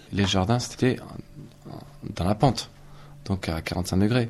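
The speaker is a man with a fairly low pitch. His intonation stays fairly even. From Ariège, southern France. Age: 30s. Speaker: builder. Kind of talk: testimony.

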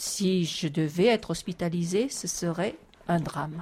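A woman's somewhat breathy, dark and mellow voice at a fairly slow pace. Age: 60s. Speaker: retiree, electro-sensitive. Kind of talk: interview testimony. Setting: inside a mountain cave.

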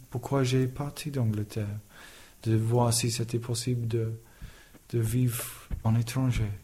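A man with an English accent, medium pitch, and a dark, mellow, somewhat breathy tone, delivered in a monotone, flat intonation with long, frequent pauses. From England. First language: English (speaking French). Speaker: carpenter. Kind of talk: testimony. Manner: halting.

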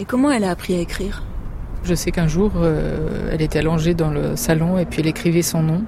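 Through audible room echo and noticeable background noise, a woman speaks at a fairly low pitch with fairly even intonation. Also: very even loudness. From France, Germany and Lebanon. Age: young. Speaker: school founder and parent. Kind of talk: interview testimony.

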